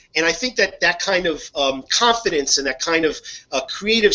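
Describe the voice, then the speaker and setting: Lively intonation from a man with a high pitch, at a moderate pace. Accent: slight Northeastern US. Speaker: hobby video host. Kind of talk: casual chat. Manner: halting, many fillers and repeats.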